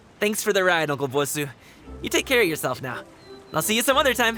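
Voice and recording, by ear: A put-on character voice with big pitch swings, a fast pace and a bright, sharp tone, faint music in the background. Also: man, high pitch for a man.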